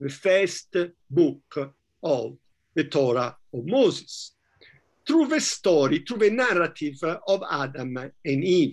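A high-pitched man in an Italian accent, lively in intonation, at a very slow pace against a quiet background. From Italy, Florence; Italy. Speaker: professor; guest lecturer. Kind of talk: lecture. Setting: video call. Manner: halting. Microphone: video call.

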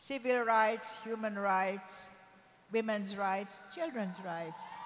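Fairly even intonation marks this woman's very slow delivery. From Hungary. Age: 80s+. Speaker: Holocaust survivor; human rights activist. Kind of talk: on-stage interview answer before a large youth audience. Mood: warm, earnest. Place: stage. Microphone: handheld.

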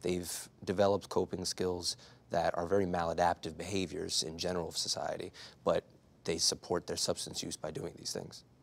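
A man speaks in a very deep, low pitch. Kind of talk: interview answer. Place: studio. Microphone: lapel.

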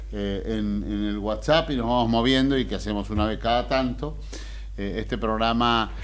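Light background noise is present. A man speaks at a moderate pace. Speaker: radio show host. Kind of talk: radio host presentation. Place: studio. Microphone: studio mic.

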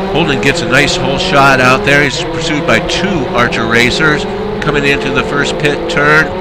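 A man's fairly high-pitched voice at a moderate pace, with ordinary pitch variation and noticeable background noise. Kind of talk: live race commentary of a virtual motorcycle race, play-by-play.

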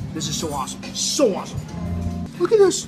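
A man at a moderate pace, clear music playing behind him. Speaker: food vlogger. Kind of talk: casual vlog chat. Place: cafe. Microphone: phone near.

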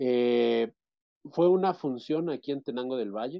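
With ordinary pitch variation and a fairly slow pace, a man talks over a quiet background. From central Mexico, State of Mexico. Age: 30s. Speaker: interviewee. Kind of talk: interview. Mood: relaxed, reminiscing. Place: home room. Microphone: video call.

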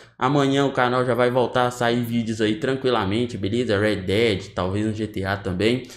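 A man talks at a moderate pace. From Brazil. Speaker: gaming youtuber. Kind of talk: casual vlog talk to viewers. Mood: calm, somewhat subdued. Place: home room.

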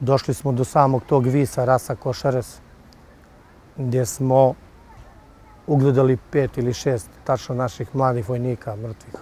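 In a dry sound with no echo and light background noise, a man speaks with fairly even intonation and a dark, mellow tone. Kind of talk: interview answer. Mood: somber recollection of fallen comrades. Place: street.

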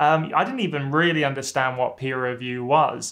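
A man with a British accent, bright and sharp in tone, at a moderate pace against a quiet background. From UK. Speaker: YouTuber and former academic chemist; academic advice youtuber. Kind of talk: vlog advice talk to camera. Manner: casual, with frequent fillers. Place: office.

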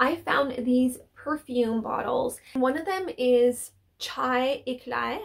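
Her voice sits at a high pitch, and this woman speaks with vocal fry.

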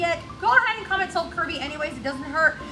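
A woman's raised, projected voice over clear music in the background. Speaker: boutique live-sale host. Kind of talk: live shopping show chat. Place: shop. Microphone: camera far.

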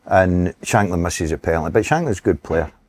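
A man talks at a fairly quick pace in a Scottish accent. His pitch is very deep and low. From Scotland. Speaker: former footballer and manager; guest. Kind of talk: casual chat. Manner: animated. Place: bar.

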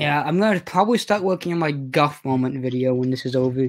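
The speech runs at a fast pace. Its intonation stays fairly even. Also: man, fairly high pitch for a man.

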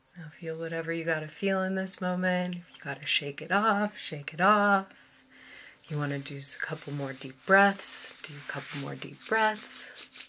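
A soft-spoken woman with ordinary pitch variation over light background noise. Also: fairly low pitch for a woman, moderate pace, big swings in loudness. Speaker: ASMR meditation guide. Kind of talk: guided meditation. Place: home room.

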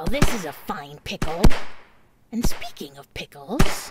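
A female-sounding cartoonish character voice at a moderate pace and fairly low pitch. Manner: sarcastic, brash.

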